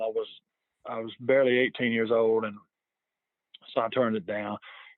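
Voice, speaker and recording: A man talks with a Southern US accent. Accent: Southern American. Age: 50s. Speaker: sports fan. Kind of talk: casual chat. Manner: halting, many repetitions.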